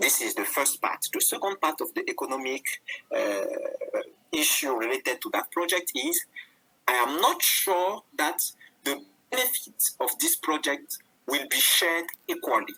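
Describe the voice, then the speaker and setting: Long, frequent pauses break up moderately paced speech, with noticeable background noise behind it. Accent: French. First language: French. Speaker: webinar panelist. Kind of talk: panel discussion. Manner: halting.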